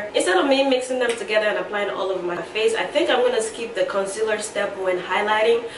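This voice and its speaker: A woman speaks with a fairly high pitch. Noticeable noise runs in the background. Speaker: beauty YouTuber. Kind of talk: makeup tutorial. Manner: casual, chatty.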